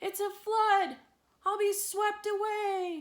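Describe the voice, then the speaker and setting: In a put-on character voice, a woman speaks very slowly in an extremely high, squeaky pitch with fairly even intonation. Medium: read story.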